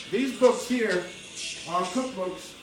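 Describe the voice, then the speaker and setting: A man talks at a moderate pace over noticeable background noise, with audible echo in the room. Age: 60s. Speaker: chef. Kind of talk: cooking tutorial. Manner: casual.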